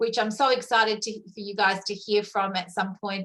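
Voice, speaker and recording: With an Australian accent, a woman speaks at a moderate pace in a fairly high voice with a bright, sharp tone. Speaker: network marketing leader. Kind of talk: testimony.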